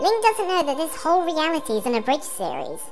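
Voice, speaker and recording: Over clear background music, a put-on character voice speaks very fast, high-pitched and squeaky. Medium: machinima. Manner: sarcastic.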